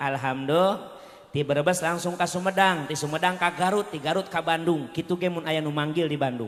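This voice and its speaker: With a Bogor accent, a man talks at a moderate pace in a fairly high pitch, using ordinary pitch variation. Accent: Sundanese (Bogor). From West Java, Bogor. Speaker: Islamic preacher. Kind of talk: comedic sermon.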